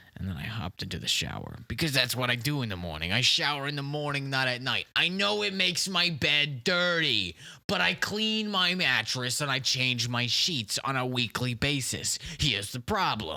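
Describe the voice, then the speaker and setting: A man does a put-on character voice with very wide pitch swings. He moves at a moderate pace with hardly any pauses. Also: medium pitch for a man. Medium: comedy sketch. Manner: rambling, defensive, repeats "listen" and "okay"; confidently absurd.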